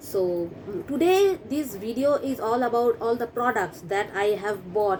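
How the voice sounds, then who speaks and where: Noticeable background noise accompanies this woman's voice. She speaks fairly slowly at a fairly high pitch. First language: not English. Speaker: beauty vlogger. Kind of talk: makeup tutorial. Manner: halting, with frequent fillers.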